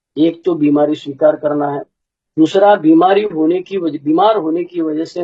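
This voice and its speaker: A man talks with ordinary pitch variation. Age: 60s. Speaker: recovering alcoholic sharing at support meeting. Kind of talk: testimony. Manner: casual, conversational.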